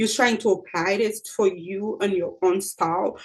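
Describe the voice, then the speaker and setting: This woman speaks with a non-native accent at a moderate pace. Her pitch is medium, with ordinary pitch variation. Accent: noticeable non-native. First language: not English. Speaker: accountant and presentation skills coach. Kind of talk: tutorial. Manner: casual, repetitive with fillers.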